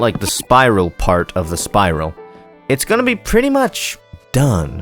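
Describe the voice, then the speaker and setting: Music plays in the background. The speech is fairly slow, with very wide pitch swings. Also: man. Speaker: gaming commentator. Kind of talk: casual let's play commentary.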